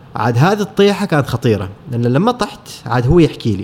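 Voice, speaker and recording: This is a normal speaking voice from a man, fairly high in pitch. He keeps a moderate pace with lively intonation. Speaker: photographer. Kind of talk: casual interview.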